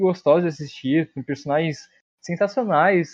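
A man with an ordinary speaking voice, fairly high pitch and a fairly quick pace. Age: young. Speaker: podcast co-host. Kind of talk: casual chat.

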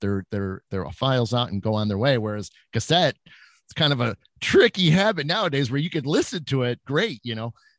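Medium-pitched male speech at a fairly quick pace with lively intonation, in a very clean, dry, close recording with no echo and a silent background. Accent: Midwestern American. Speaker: psychic medium and paranormal investigator. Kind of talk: casual interview chat.

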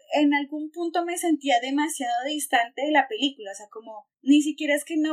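A woman speaks at a fairly quick pace in a high pitch. Her intonation is lively, and the sound is dry and close with no echo. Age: 20s. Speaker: podcast host. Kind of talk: casual chat.

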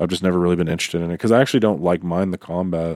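Very fast and very deep, a man speaks with an American accent and fairly even intonation. The sound is dry and close with no echo, on a very clean recording with a silent background. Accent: Southern US, slight, comes back when drinking. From US South. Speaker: podcast host. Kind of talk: casual chat.

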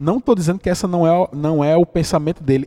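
A dark, mellow tone marks the voice. The sound stays dry and close, without any echo. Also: man. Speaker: podcast host. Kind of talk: casual commentary monologue. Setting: at home. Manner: animated, indignant.

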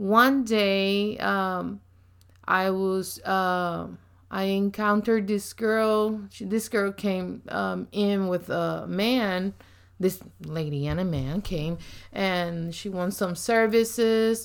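In a strong Puerto Rican accent, a woman speaks at a very slow pace with a medium pitch and ordinary pitch variation. The recording is very clean, with a silent background. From Puerto Rico. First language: Spanish. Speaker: ministry leader. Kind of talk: casual chat.

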